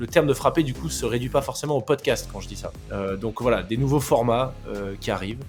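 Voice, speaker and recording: With music in the background, a man of medium pitch speaks at a moderate pace with lively intonation. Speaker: podcast host, mental coach, former judo athlete. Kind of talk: casual podcast conversation.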